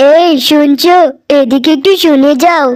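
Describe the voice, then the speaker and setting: A woman puts on a cartoonish character voice, high in pitch with fairly even intonation. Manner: earnest.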